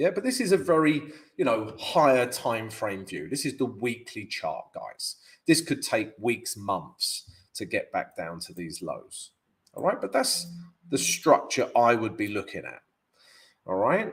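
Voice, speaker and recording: A man with a London accent at a fairly slow pace, with big swings in loudness. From London, England. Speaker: forex trader and analyst. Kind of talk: live trading stream analysis. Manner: casual, filler-heavy (um, yeah, all right).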